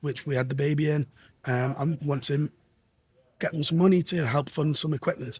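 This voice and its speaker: A man's fairly high, somewhat breathy voice, fairly even intonation, moderate pace with long, frequent pauses, and a dry, close sound with no echo. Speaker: tech industry representative. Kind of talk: casual interview chat. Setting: trade show venue. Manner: halting, many fillers.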